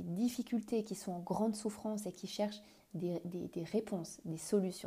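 With a dark, mellow tone, somewhat breathy, a woman speaks at a fairly slow pace with medium pitch and ordinary pitch variation. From France. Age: 30s. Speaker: couples coach. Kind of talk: solo podcast monologue. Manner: halting, many fillers.

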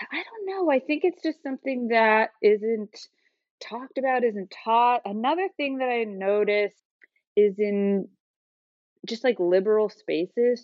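Her intonation is lively as this woman talks at a fairly slow pace. She has a plain, everyday voice. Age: 30s. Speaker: photographer. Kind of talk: interview.

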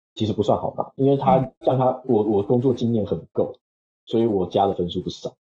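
At a moderate pace and medium pitch, a man speaks in a somewhat breathy voice. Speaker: software engineer. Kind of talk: casual interview. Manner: halting, many fillers.

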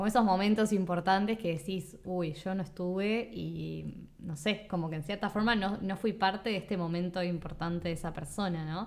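A woman with a Uruguayan accent speaks at a medium pitch and moderate pace, with fairly even intonation and hardly any pauses. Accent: Uruguayan, kept while in Spain. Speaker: podcast host. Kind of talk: casual chat.

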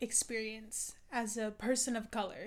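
A woman with a plain, everyday voice and an American accent talks at a moderate pace. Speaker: student union president. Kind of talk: casual interview conversation.

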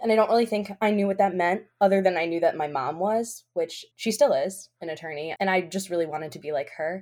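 A woman with an American accent speaks in an ordinary speaking voice at a fairly quick pace, with medium pitch, ordinary pitch variation and hardly any pauses. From Albany, New York. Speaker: law student. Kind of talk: casual interview.

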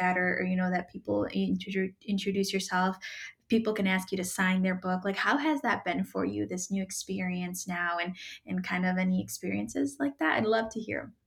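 The woman's voice is somewhat breathy. She speaks at a fairly quick pace. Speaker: podcast host. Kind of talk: interview, podcast host conversation.

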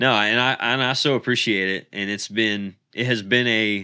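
A man with an American accent uses a normal speaking voice, fairly low in pitch. His intonation is fairly even, and the background is quiet. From Pennsylvania, Centre County. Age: 30s. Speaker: pastor. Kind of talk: casual chat.

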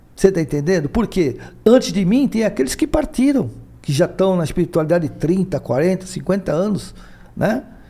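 A man speaks at a moderate pace with a high pitch and very wide pitch swings. His tone is dark and mellow. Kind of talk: interview on spirituality. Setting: live video stream.

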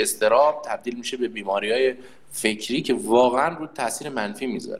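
The pace here is very fast. A man delivers it at a medium pitch. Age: 30s. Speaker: conscript soldier and employer. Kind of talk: casual chat.

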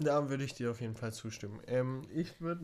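Someone with a normal speaking voice talks at a moderate pace. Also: man. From Germany. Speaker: podcast co-host. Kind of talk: casual chat.

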